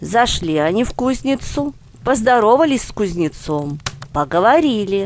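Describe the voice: Speaking at a moderate pace, a woman uses a medium pitch with big pitch swings.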